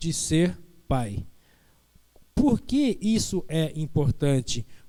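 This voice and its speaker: A man speaks softly. His tone is dark and mellow. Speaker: pastor. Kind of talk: sermon. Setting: church online Bible school broadcast. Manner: soft-spoken.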